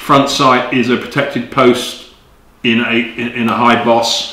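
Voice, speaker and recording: A man with a British accent, medium pitch, monotone, flat intonation and a fairly slow pace, with audible room echo and noticeable background noise. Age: 60s. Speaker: magazine editor and gun reviewer. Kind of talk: product review. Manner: casual with frequent fillers and hesitations.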